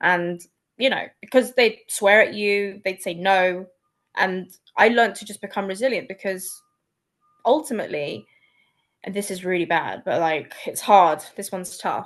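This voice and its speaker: A woman's medium-pitched voice with a London accent, moderate pace, ordinary pitch variation, big swings in loudness and long, frequent pauses. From London, England. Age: 40s. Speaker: copywriter. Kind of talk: casual chat.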